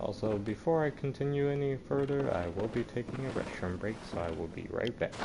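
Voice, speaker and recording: A man's medium-pitched voice with lively intonation, a fairly quick pace and hardly any pauses, over noticeable background noise. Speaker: gaming streamer. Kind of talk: live gameplay commentary. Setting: home, late at night.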